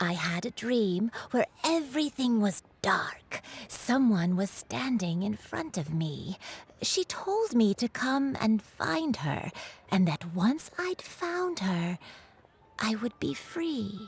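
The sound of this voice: Doing a put-on character voice, a woman speaks slowly at a fairly high pitch with a husky, rough edge and big pitch swings.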